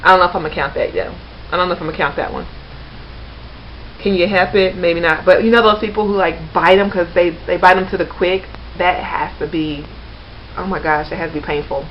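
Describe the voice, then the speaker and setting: With noticeable background noise behind her, a woman talks at a very fast pace, broken by long, frequent pauses. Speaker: vlogger. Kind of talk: casual vlog monologue. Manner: off the cuff.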